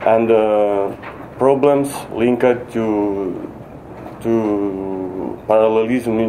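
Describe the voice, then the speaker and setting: A non-native accent in monotone, flat intonation, with audible room echo and noticeable background noise. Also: man. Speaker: software developer presenting at a conference. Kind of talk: conference talk. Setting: conference stage with audience. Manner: halting, many fillers and restarts.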